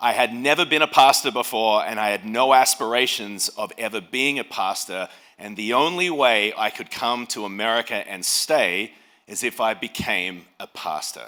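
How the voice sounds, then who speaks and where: On a very clean recording with a silent background, a man speaks in an Australian accent at a moderate pace, using a medium pitch with ordinary pitch variation and a bright, sharp tone. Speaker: pastor. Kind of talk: speech. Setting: stage with audience.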